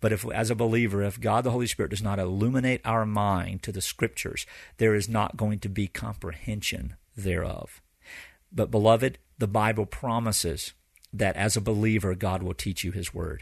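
Against a quiet background, a man with a fairly low pitch and vocal fry speaks with ordinary pitch variation. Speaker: pastor hosting a Bible teaching podcast. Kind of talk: teaching lecture. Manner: fast, continuous with few pauses.

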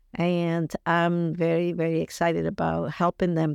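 A voice with a Colombian accent in a dry, close sound with no echo. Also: woman. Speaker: youth group leader. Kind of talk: casual interview chat.

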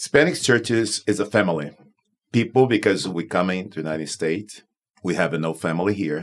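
A man with a Portuguese accent and a very deep, low pitch talks at a fairly quick pace, his pitch varying in an ordinary way. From Brazil, Manaus. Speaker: pastor of Spanish-language church. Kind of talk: casual panel discussion.

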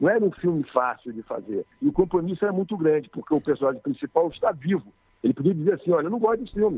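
A man speaks at a high pitch and a very fast pace. His pitch swings very widely. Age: 50s. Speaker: film director. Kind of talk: interview. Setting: phone call.

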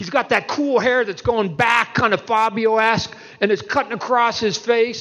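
Against noticeable background noise, a man talks with a high-pitched voice. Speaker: comic book artist and panel moderator. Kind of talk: convention panel conversation. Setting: stage with audience. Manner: speaks clearly.

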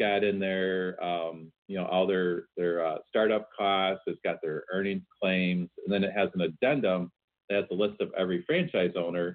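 With a very deep, low pitch and fairly even intonation, a man talks at a moderate pace with hardly any pauses. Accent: American. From Chicago. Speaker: franchise consultant. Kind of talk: casual interview.

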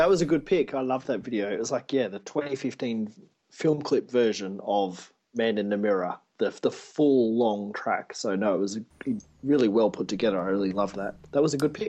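A man with an Australian accent speaks at a fairly quick pace in a dark, mellow tone, with medium pitch and ordinary pitch variation. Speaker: podcast co-host. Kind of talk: casual chat. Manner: fast talker; animated.

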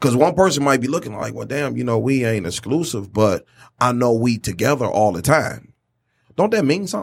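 At a fairly quick pace, a man speaks at medium pitch with very wide pitch swings and vocal fry, on a very clean recording with a silent background. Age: 40s. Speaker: podcast host. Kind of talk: casual chat.

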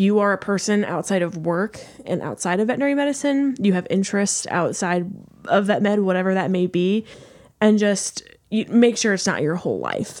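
An American accent at a fairly quick pace. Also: woman. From St. Louis, Missouri. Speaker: veterinary student. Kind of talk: casual chat.

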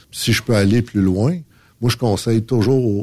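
A man speaks with a dark, mellow tone at medium pitch and ordinary pitch variation. The recording is very clean, with a silent background. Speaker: trucking company manager. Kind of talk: casual chat. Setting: studio.

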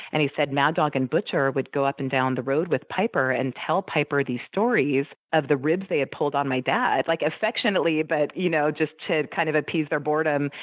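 A woman with an American accent and a very deep, low pitch speaks at a fairly quick pace, with very even loudness and hardly any pauses. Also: ordinary pitch variation. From US West Coast. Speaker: wrestler's daughter. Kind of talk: interview.

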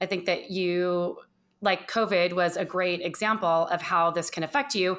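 In a plain, everyday voice, a woman with an American accent speaks at a medium pitch and moderate pace in a very clean recording with a silent background. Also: fairly even intonation. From US West Coast, Southern California. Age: 50s. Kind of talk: interview.

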